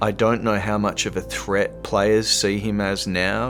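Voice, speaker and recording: Music plays in the background as a man with an Australian accent speaks at a fairly slow pace. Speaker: voice actor. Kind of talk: interview answer. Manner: casual, enthusiastic.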